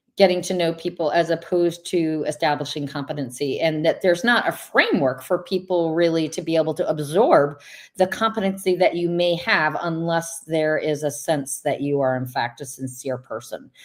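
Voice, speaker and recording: Speaking in an ordinary speaking voice, a woman uses a fairly low pitch with ordinary pitch variation. She keeps a moderate pace with hardly any pauses on a very clean recording with a silent background. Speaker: wellness speaker and host. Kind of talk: livestream interview host.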